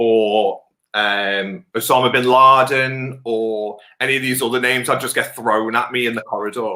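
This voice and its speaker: A man's voice with a bright, sharp tone and fairly even intonation. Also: medium pitch for a man, moderate pace. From northwest England, Wirral. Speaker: beard club president and teacher. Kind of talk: casual interview chat. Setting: remote video call.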